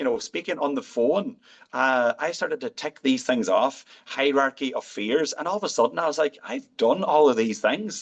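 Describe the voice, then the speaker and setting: Speaking with an Irish accent at a moderate pace, the voice swings very widely in pitch, with a dry, close sound and no echo. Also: man. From Ireland. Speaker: physician. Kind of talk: interview answer.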